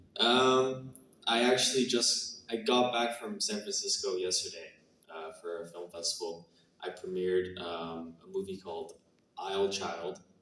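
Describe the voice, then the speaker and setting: With audible room echo, a man talks fairly slowly at a fairly low pitch, showing ordinary pitch variation and big swings in loudness. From Canada. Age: 20s. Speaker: actor. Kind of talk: Q&A interview. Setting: stage with audience. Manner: hesitant, many fillers.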